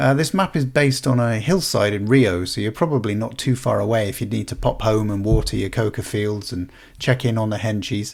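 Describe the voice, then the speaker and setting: A man with a British accent speaks at a medium pitch and a fairly quick pace, with hardly any pauses. The recording is very clean, with a silent background. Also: ordinary pitch variation. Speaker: gaming YouTuber. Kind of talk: comedic game commentary. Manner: fast.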